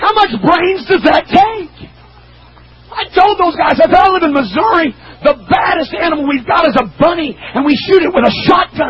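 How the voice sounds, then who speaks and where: A man shouts at an extremely high pitch for a man and a moderate pace. Noticeable background noise sits behind him. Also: lively intonation. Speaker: preacher. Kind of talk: sermon. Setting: church pulpit with youth audience.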